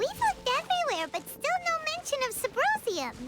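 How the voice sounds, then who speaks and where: An energetic, squeaky put-on character voice at an extremely high pitch, fairly quick in pace, over loud background noise. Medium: game stream. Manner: energetic, bouncy.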